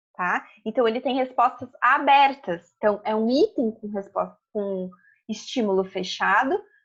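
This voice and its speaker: A high-pitched woman's voice, very slow, with lively intonation. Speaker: psychology lecturer. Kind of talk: lecture. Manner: slow, deliberate.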